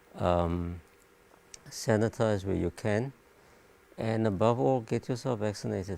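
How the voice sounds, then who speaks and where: Soft-spoken and fairly low-pitched, a man talks in a dark, mellow tone with ordinary pitch variation and long, frequent pauses. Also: fairly slow pace. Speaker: doctor. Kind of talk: panel discussion. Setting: live stream panel.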